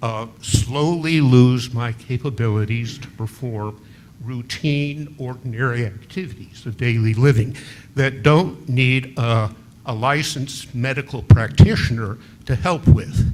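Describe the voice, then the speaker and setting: A man's somewhat breathy voice at a medium pitch and a fairly slow pace, with ordinary pitch variation and big swings in loudness. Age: 80s+. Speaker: local resident. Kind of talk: public comment at city meeting. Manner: halting.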